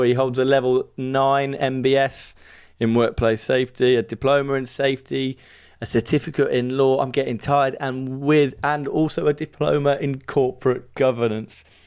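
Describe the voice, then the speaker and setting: A medium-pitched man with a Birmingham accent at a moderate pace, over a quiet background. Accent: Brummie. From England, Birmingham. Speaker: podcast host. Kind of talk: interview podcast. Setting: studio.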